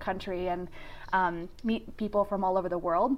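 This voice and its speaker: Delivery is fairly quick. Pitch stays fairly even throughout. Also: woman. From rural Nebraska, US Midwest. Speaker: university global learning director. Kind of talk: interview. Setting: video call.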